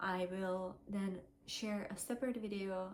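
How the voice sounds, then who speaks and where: A woman with a non-native accent speaks at a medium pitch. Her pace is fairly slow and her intonation fairly even. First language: not English. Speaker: vlogger sharing fertility journey. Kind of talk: personal testimony vlog. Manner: hesitant, many fillers.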